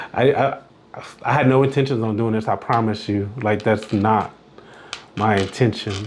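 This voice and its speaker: Amid noticeable background noise, a man with a fairly low pitch speaks at a moderate pace in a fairly even intonation, with long, frequent pauses. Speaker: podcast host, confidence coach. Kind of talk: solo podcast monologue. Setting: recorded virtually. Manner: frequent filler words (uh, like); casual, conversational.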